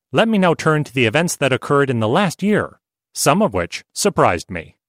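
A man's voice with vocal fry and very wide pitch swings at a fairly quick pace, dry and close with no echo, on a very clean recording with a silent background. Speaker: article narrator. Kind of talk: reading aloud.

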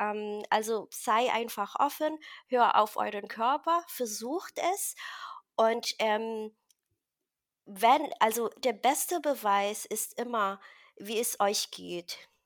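Pitched fairly high, a woman speaks at a very slow pace with long, frequent pauses and ordinary pitch variation. The recording is very clean, with a silent background. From Philippines, rural village. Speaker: carnivore diet success story guest. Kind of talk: personal testimony interview. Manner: halting, many fillers.

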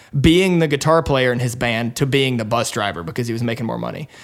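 This man talks at a fairly quick pace. His pitch sits at a medium level. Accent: slight Southern US. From Alabama. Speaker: startup co-founder. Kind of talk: casual interview.

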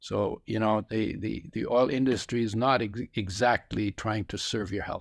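A man's fairly low voice with vocal fry and fairly even intonation, at a moderate pace with hardly any pauses, in a very clean recording with a silent background and a dry, close sound with no echo. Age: 80s. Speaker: author and supplement company co-founder. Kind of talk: casual interview, explaining health topics.

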